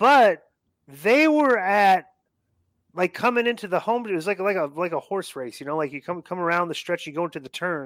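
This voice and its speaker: The voice moves in very wide pitch swings, recorded dry and close with no echo in a very clean recording with a silent background. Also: man. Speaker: former pro wrestler. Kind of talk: casual interview chat.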